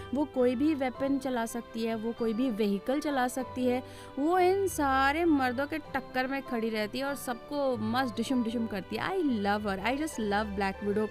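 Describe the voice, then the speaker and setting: Over music in the background, a woman talks in a high voice with lively intonation. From India. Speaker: voice actor. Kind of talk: interview answer.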